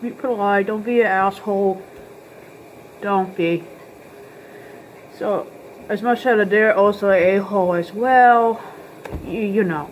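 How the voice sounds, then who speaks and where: A woman mumbles at a fairly slow pace in a medium pitch, with long, frequent pauses. Noticeable background noise runs under her voice. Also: fairly even intonation. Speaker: video blogger. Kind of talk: tutorial. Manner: mumbling; casual.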